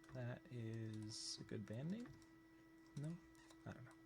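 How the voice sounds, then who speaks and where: A man of medium pitch with a dark, mellow, somewhat breathy tone, very wide pitch swings and audible room echo. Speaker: animator teaching on a live stream. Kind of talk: live-stream tutorial. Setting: live stream at computer. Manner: careful, clear diction.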